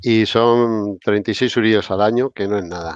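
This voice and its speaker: A man talks at a very slow pace in a fairly low pitch. The sound is dry with no echo. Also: quiet background. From Spain. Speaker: basketball podcast host. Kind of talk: casual chat. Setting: live stream with chat. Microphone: video call.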